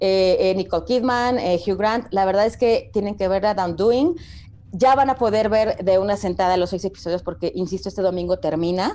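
A woman speaks at a medium pitch, with noticeable background noise. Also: ordinary pitch variation, moderate pace. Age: 40s. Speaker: TV series review podcast co-host. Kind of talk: casual chat.

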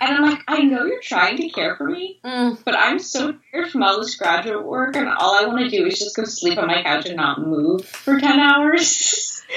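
A woman's high voice swings very widely in pitch. She keeps a moderate pace with hardly any pauses, over noticeable background noise. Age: 20s. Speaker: graduate student. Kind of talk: interview.

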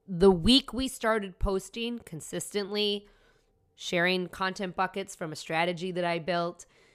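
Over a silent background in a very clean recording, a woman with an American accent speaks at a medium pitch and fairly slow pace, with ordinary pitch variation. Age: 40s. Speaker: podcast host, entrepreneur. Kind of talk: solo podcast tutorial.

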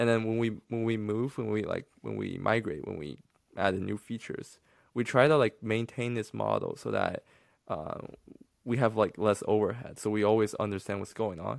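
A man with a Chinese accent speaks with ordinary pitch variation on a very clean recording with a silent background. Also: fairly low pitch for a man, moderate pace. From mainland China. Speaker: podcast co-host, app developer. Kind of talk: casual podcast chat. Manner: halting, many fillers.

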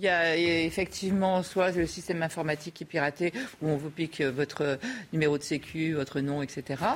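Moderately paced, the speech keeps a fairly even intonation. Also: woman, very deep, low pitch for a woman. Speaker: debate panelist. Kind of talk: debate.

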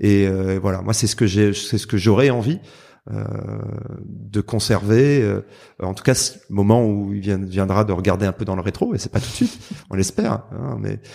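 A man's dark, mellow voice, fairly low in pitch, with fairly even intonation on a very clean recording over a silent background. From southern France, Marseille. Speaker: lawyer. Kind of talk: interview. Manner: hesitant, many repetitions and fillers.

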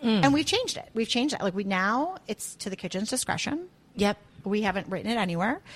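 With an American accent, a somewhat breathy woman talks at a very fast pace, her fairly high pitch making very wide swings. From US Midwest, Chicago area. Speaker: chef and restaurant owner. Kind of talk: casual chat.

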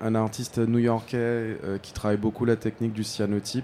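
At a fairly slow pace, a man speaks with a fairly low pitch and a dark, mellow tone. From Guadeloupe. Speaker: fashion designer and party founder. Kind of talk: interview. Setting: live studio at a trade fair.

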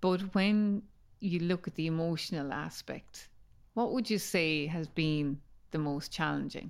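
Recorded very cleanly with a silent background, a woman with an Irish accent speaks at a fairly slow pace with ordinary pitch variation. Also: fairly low pitch for a woman. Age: 50s. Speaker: podcast host. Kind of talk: interview. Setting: in person.

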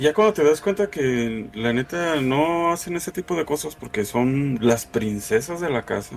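A man with a Mexican accent, fairly high pitch, lively intonation, a fairly slow pace and hardly any pauses. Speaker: podcast host. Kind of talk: casual chat.

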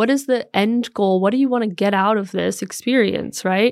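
Against a quiet background, a woman talks at a medium pitch and a moderate pace. She has a plain, everyday voice with ordinary pitch variation. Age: 30s. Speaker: life coach and women's community founder. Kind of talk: casual interview chat. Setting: in-person studio recording.

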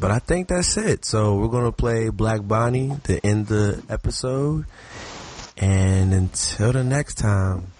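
Speaking fairly slowly, a man uses an ordinary speaking voice at a medium pitch with ordinary pitch variation. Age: 20s. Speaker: music and sports podcast co-host. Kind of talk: casual chat. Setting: online call recording.

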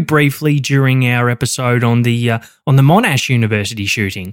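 A man at medium pitch and a fairly quick pace, on a very clean recording with a silent background. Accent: Australian. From Australia. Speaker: true crime podcast co-host. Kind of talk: scripted true crime narration.

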